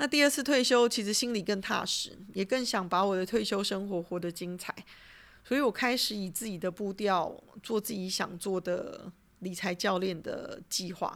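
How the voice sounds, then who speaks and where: A woman talks in a normal speaking voice at a medium pitch and a moderate pace. Her pitch variation is ordinary, and the recording is very clean with a silent background. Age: 40s. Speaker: podcast host, retired finance professional. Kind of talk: solo monologue podcast. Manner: casual, chatty.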